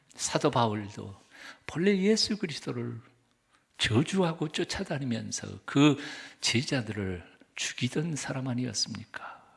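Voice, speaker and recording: A man speaks at medium pitch at a fairly slow pace. His somewhat breathy voice has very wide pitch swings. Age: 60s. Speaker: pastor. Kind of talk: sermon. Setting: church.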